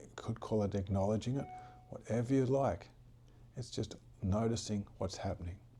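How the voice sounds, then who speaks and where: This man's voice is somewhat breathy, with a dark, mellow tone. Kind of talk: guided relaxation talk about stress and breathing.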